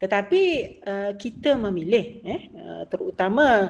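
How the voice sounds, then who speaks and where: In a Malaysian accent, a woman speaks at a fairly slow pace. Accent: Malaysian Malay. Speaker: academic book discussion speaker. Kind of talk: lecture. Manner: hesitant, many filler sounds.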